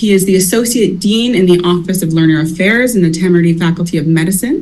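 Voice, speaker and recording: A woman's somewhat breathy voice at medium pitch with ordinary variation, fairly quick in pace, with audible room echo. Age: 30s. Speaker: university accessibility advisor. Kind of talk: conference introduction. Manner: formal.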